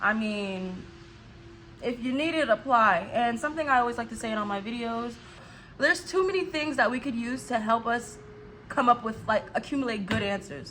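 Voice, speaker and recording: A woman's fairly high-pitched voice, animated in tone with lively intonation. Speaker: YouTuber. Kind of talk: casual vlog talk. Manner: fast.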